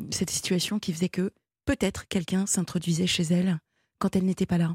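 Her intonation is monotone and flat, at a medium pitch for a woman. The tone is dark and mellow and somewhat breathy. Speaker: late-night call-in radio host. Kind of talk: call-in radio talk. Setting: radio studio.

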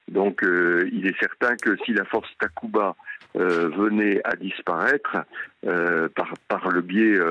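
With a fairly low pitch and monotone, flat intonation, a man speaks at a very slow pace. The sound is dry and close, with no echo. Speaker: retired army general, military analyst. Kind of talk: radio interview.

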